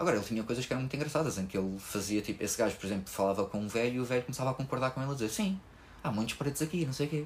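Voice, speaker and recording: A man's somewhat breathy voice at a medium pitch and a very fast pace. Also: lively intonation. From Portugal. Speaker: podcast host, stand-up comedian. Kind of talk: casual chat.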